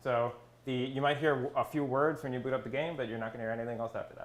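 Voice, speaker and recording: With audible room echo in the recording, a man talks at a medium pitch using fairly even intonation. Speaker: conference speaker, graduate student. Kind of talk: conference talk. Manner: fast; hesitant, many fillers.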